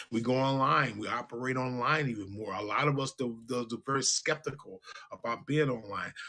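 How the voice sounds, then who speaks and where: A man at medium pitch talks at a moderate pace with fairly even intonation. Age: 60s. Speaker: radio show host. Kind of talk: casual talk show monologue. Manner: halting, repetitive.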